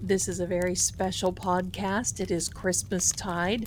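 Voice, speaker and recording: A woman at a moderate pace, medium in pitch, with vocal fry. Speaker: podcast co-host. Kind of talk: podcast host introduction.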